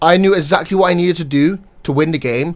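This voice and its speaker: On a very clean recording with a silent background, a man with a British accent talks with ordinary pitch variation. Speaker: card game player and content creator. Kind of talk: casual tournament recap monologue. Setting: home recording during heat wave. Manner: unscripted, repetitive and self-correcting.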